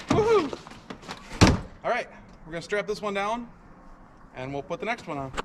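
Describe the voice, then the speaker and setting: Fairly quick in pace yet broken by long, frequent pauses, the speech comes over noticeable background noise. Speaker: off-road vlogger. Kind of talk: casual vlog narration. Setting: outdoors. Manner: loud.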